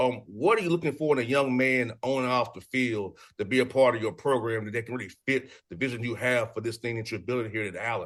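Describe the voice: This man talks at a fast pace with a medium pitch, a fairly bright tone and ordinary pitch variation.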